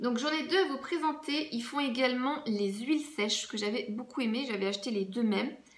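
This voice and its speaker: A woman with a high voice talks at a fairly quick pace with hardly any pauses, over noticeable background noise. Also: ordinary pitch variation. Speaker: beauty vlogger. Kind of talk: casual product review vlog.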